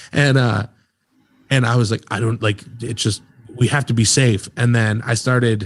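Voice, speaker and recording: A man speaks with a medium pitch and fairly even intonation. His voice is somewhat breathy. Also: moderate pace. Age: 30s. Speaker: podcast host. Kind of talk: casual chat.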